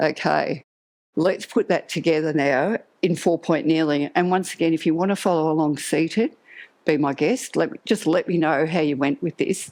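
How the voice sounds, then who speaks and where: With an ordinary speaking voice, a woman talks at a moderate pace and a fairly low pitch with ordinary pitch variation over a quiet background. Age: 60s. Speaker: Pilates instructor. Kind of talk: exercise class instruction. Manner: calm, instructive cueing.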